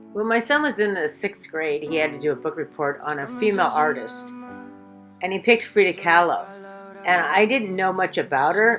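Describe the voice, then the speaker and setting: Music plays behind a woman with a medium pitch. She speaks at a moderate pace with lively intonation. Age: 50s. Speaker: artist. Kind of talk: personal vlog talk.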